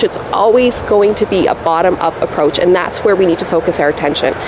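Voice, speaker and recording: A woman speaks in a Canadian accent at a medium pitch. Noticeable background noise runs beneath her voice. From Poland, raised in Canada. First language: Polish. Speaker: municipal election candidate. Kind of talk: interview.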